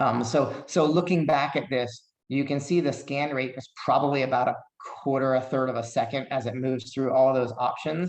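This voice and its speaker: Speaking with a plain, everyday voice, a man talks at a moderate pace with medium pitch and fairly even intonation. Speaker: occupational therapist presenter. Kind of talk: lecture.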